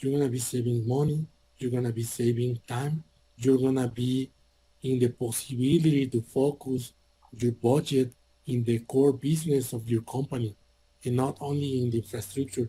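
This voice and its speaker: A man with a non-native accent speaks at medium pitch and a moderate pace. His dark, mellow, somewhat breathy voice stays in monotone, flat intonation. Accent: non-native English speaker. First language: Spanish. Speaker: IT hardware salesperson. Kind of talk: sales presentation. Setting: virtual conference session.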